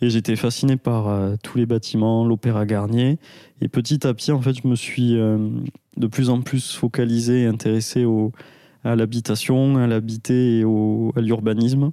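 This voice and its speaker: A man's dark, mellow voice sits at medium pitch, flat and monotone with very even loudness, in a dry, close sound with no echo. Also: fairly slow pace. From France, Aveyron (rural). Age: 20s. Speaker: architect. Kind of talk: interview. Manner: halting, many hesitations.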